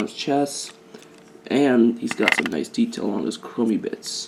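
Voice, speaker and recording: A man talks with fairly even intonation at a moderate pace. Noticeable background noise runs behind him. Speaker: toy reviewer. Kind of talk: product review. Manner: halting, stuttering.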